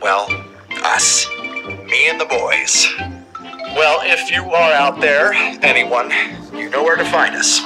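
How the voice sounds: A man puts on a character voice, fairly high in pitch with a bright, sharp tone, talking slowly with lively intonation as faint music plays in the background.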